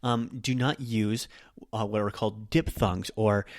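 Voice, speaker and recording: This man has an unremarkable speaking voice with fairly low pitch. His intonation stays fairly even. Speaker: Japanese language teacher. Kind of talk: podcast lesson.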